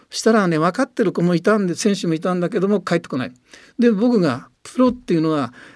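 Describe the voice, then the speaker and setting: A man speaks very fast in a high pitch with lively intonation. The recording is very clean, with a silent background. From Tochigi, Japan. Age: 80s+. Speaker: football coach. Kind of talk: interview.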